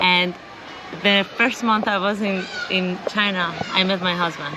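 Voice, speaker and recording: A woman with an Iranian accent at medium pitch, fairly slow and fairly even in intonation, with audible room echo and noticeable background noise. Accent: Iranian (Persian) English. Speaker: interviewee, expat living abroad. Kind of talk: casual interview.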